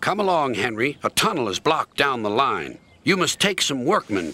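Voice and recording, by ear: Aloud reading, natural in voice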